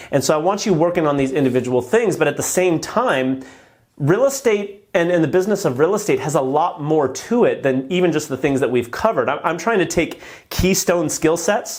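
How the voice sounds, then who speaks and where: Lively intonation and a fairly quick pace mark this man's delivery. His pitch is high, and his loudness stays very even. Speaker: real estate coach. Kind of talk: training seminar. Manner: fast.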